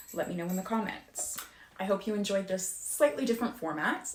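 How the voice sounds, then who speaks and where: Noticeable background noise under a woman speaking at a medium pitch, her pitch varying in an ordinary way. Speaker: youtuber talking about own anxiety. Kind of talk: informal explainer video. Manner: fast.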